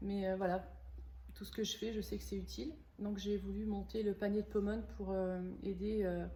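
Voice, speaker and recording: A woman speaks at a moderate pace with long, frequent pauses, over noticeable background noise and audible room echo. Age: 50s. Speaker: organic shop owner. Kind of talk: interview. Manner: halting, many hesitations.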